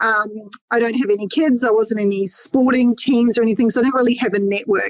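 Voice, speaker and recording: A woman with an Australian accent speaks at a fairly quick pace in a fairly high voice, the sound dry and close with no echo. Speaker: mortgage broker. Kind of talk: podcast interview. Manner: loud.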